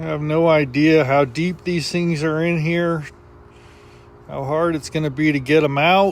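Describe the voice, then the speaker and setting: A man with a fairly high pitch speaks at a fairly slow pace. His intonation is monotone and flat. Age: 60s. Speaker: DIY video creator. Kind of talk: casual vlog narration. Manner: casual, conversational.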